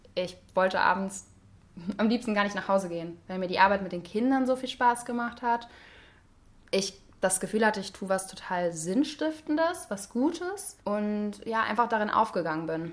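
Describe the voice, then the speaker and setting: A plain, everyday voice from a woman, medium in pitch, with lively intonation at a moderate pace. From Hesse, Germany (Wiesbaden). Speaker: psychology student. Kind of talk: casual interview. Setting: apartment.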